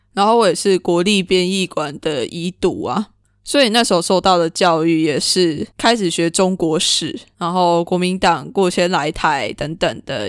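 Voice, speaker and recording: A woman's ordinary speaking voice, fairly low in pitch, at a fairly slow pace with lively intonation, in a very clean recording with a silent background. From Taiwan. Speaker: podcast host. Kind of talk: solo podcast monologue.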